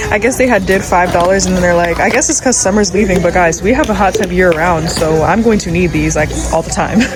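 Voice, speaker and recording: A woman's very fast, fairly low-pitched speech with hardly any pauses and ordinary pitch variation, set against music in the background and audible room echo. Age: 20s. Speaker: vlogger and Airbnb host. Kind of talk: vlog narration while shopping. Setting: in a store. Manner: animated; whispering.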